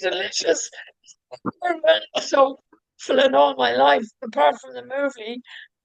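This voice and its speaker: The speaker moves at a fairly slow pace with long, frequent pauses. The pitch swings very widely. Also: woman, fairly high pitch for a woman. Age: 60s. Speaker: podcast host. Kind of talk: casual chat. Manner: animated.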